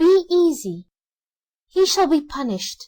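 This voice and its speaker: Squeaky and extremely high, a woman's put-on character voice moves fairly slowly through very wide pitch swings. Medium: read story.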